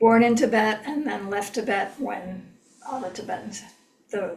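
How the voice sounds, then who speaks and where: Here a woman talks with ordinary pitch variation. Audible room echo surrounds her voice. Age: 70s. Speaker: meditation teacher. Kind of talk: lecture. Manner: hesitant, many fillers.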